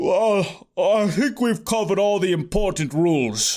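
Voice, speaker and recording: Using a put-on character voice, a man speaks with a high pitch and lively intonation. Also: moderate pace. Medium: read story. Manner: languid.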